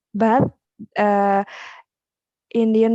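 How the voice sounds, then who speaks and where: A woman talks very slowly in a fairly high, dark and mellow voice with an Indonesian accent. The sound is dry and close, with no echo. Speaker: English teacher. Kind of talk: casual chat. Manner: halting.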